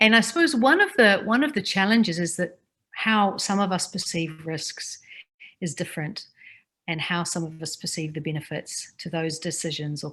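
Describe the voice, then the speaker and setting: This woman has a New Zealand accent. Her pitch sits fairly low. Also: quiet background. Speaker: Maori language advocate and speaker. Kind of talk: personal reflective talk. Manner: halting, with repetitions.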